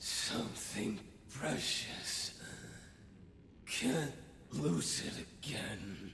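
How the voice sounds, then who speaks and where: A put-on character voice moves at a very slow pace with long, frequent pauses, amid clear echo and clear background noise. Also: man, medium pitch for a man. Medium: video game. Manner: menacing, hollow.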